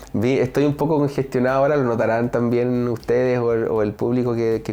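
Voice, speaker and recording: A man's dark, mellow tone at medium pitch, with fairly even intonation and a fairly quick pace. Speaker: speech therapist. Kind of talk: interview.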